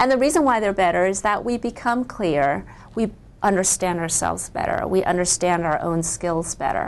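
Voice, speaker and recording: With a normal speaking voice, a woman of medium pitch talks at a moderate pace with lively intonation. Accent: American. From US, Chinese immigrant family. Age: 40s. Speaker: author. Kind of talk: interview.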